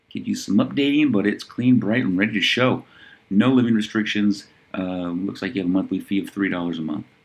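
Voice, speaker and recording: A man's normal speaking voice, fairly low in pitch with ordinary pitch variation, at a fairly quick pace. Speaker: real estate listings reviewer. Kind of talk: listing review monologue. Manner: casual, conversational.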